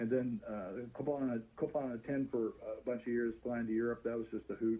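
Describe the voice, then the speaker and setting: Speaking at a fairly quick pace, a man has a dark, mellow tone, medium pitch and fairly even intonation. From US, Army family, partly raised in Japan. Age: 70s. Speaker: retired naval aviator and airline pilot. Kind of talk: interview. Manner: halting, many fillers.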